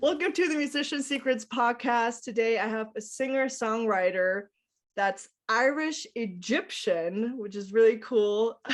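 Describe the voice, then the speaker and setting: A woman with an American accent speaks at a fairly slow pace and fairly high pitch. Her tone is enthusiastic and her intonation lively. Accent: American with slight English, German. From United States. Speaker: podcast host. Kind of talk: podcast interview. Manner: casual, enthusiastic.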